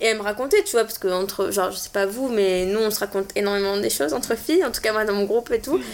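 With hardly any pauses, a woman at a medium pitch talks at a very fast pace with ordinary pitch variation. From southern France (Montpellier). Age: 20s. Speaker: podcast guest. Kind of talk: casual chat.

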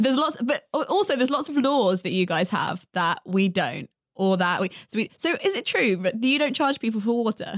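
With a British accent, a woman speaks at a moderate pace and high pitch, her pitch swinging very widely, in a dry, close sound with no echo. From UK. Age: 20s. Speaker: podcast host. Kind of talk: casual chat. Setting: home recording at a friend's house.

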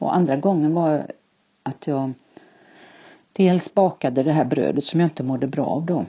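A woman speaks with a very deep, low pitch and vocal fry. Her pace is moderate, with ordinary pitch variation. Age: 60s. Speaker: podcast guest, retiree with IBS. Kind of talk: interview.

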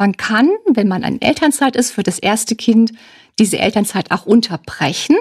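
This woman's voice sits fairly high and is somewhat breathy, with lively intonation at a moderate pace. The recording is very clean against a silent background. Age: 60s. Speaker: family counselor and social worker. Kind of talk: expert interview.

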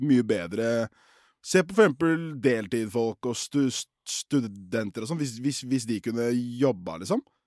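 On a very clean recording with a silent background and a dry, close sound with no echo, a man speaks at a medium pitch and moderate pace in an animated tone with lively intonation. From Oslo, Norway. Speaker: podcast co-host. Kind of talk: casual chat.

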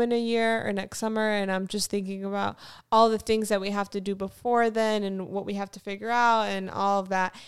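A woman with an American accent and a medium pitch talks at a fairly quick pace. Her intonation is monotone and flat, and the recording is very clean with a silent background. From Florida, US South (Fort Lauderdale), later North Carolina. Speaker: podcast co-host, artist. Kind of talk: casual chat.

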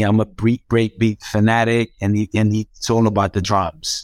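A man speaks at a medium pitch and a moderate pace in a Croatian accent. The recording is very clean and dry, close with no echo, over a silent background. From Croatia, Zagreb. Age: 40s. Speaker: hip hop DJ and promoter. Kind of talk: casual interview.

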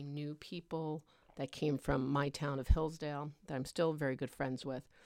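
A woman's very deep, low-pitched voice with a New Jersey accent and fairly even intonation, on a very clean recording with a silent background. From northern New Jersey. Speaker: guest, host's mother. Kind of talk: casual chat.

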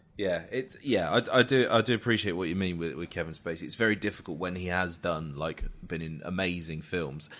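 A very deep, low male voice with a British accent, moving at a fairly quick pace with hardly any pauses. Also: ordinary pitch variation, quiet background. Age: 30s. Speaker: podcast host. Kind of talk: casual chat.

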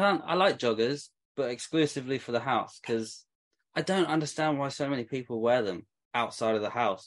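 A man with a British accent at a fairly quick pace, lively intonation and a quiet background. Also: medium pitch for a man. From England. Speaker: t-shirt brand owner. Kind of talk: casual chat.

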